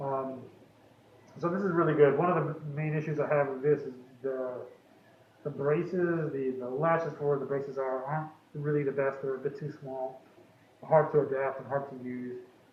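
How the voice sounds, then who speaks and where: Amid noticeable background noise and audible room echo, a man with a fairly high pitch speaks at a moderate pace in monotone, flat intonation, with long, frequent pauses. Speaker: tech company co-founder. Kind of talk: product demonstration. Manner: hesitant, many fillers.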